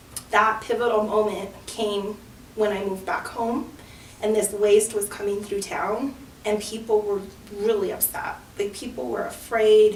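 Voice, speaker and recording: Over noticeable background noise, a speaker with an American accent talks at a fairly slow pace with fairly even intonation. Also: woman, fairly high pitch for a woman. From Antonito, Colorado, San Luis Valley. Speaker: community organizer, clean water NGO founder. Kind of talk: interview answer.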